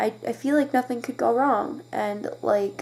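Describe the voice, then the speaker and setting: Quiet and fairly high-pitched, a woman speaks with ordinary pitch variation. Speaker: vlogger. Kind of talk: personal confessional vlog. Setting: bedroom at night. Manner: halting.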